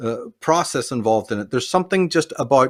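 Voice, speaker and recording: This man's delivery is fairly quick. The background is silent, and the recording is very clean. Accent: Northern Irish. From Belfast, Northern Ireland. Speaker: author, researcher and public speaker. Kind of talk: interview answer.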